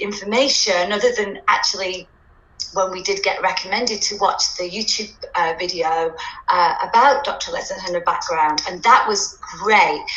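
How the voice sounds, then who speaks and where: Speech moves at a moderate pace in a room with audible echo. Noticeable background noise is present. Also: woman. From UK. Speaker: dance teacher and parent. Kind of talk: testimonial interview. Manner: hesitant, many fillers.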